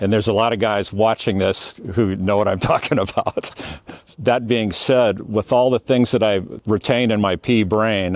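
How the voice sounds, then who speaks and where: A man with an American accent at a moderate pace, in a dry, close sound with no echo, very even loudness and fairly even intonation. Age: 60s. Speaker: salvage yard veteran. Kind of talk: casual tutorial. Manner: casual, with fillers.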